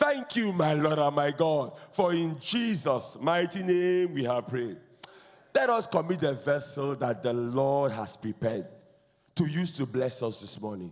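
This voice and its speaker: Over a quiet background, a man talks at a fairly slow pace with lively intonation. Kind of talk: led congregational prayer. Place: church. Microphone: handheld.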